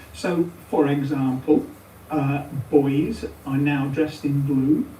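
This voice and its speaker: This woman talks at a very slow pace in a very deep, low pitch. The recording has noticeable background noise and audible room echo. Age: 70s. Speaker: retired head teacher. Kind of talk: interview. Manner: hesitant, with filler sounds.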